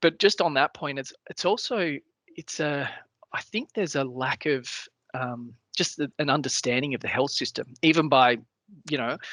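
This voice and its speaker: A man speaks with an Australian accent in a fairly high, bright, sharp voice. His pitch varies in an ordinary way, and the sound is dry and close with no echo. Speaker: cancer patient panelist. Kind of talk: webinar panel discussion. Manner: fast, jumping between points.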